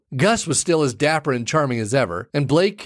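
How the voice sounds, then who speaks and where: A man with an unremarkable speaking voice and an American accent talks at a fairly quick pace with ordinary pitch variation in a very clean recording with a silent background. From Arizona, small town. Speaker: podcast host. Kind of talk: storytelling monologue.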